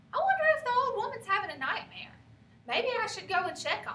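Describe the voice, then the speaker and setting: Putting on a squeaky character voice, a woman speaks fairly quickly at an extremely high pitch, with very wide pitch swings and big swings in loudness. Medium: read story.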